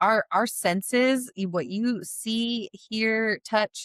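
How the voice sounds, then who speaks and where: This woman has a normal speaking voice at a medium pitch, with lively intonation. The sound is dry and close, with no echo. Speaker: podcast co-host. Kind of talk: casual chat.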